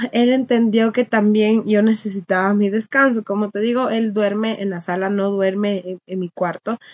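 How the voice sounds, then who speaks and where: In a dry, close recording with no echo, a woman with a fairly high voice speaks at a fairly slow pace. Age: 20s. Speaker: recruiter and dog owner. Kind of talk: casual interview chat.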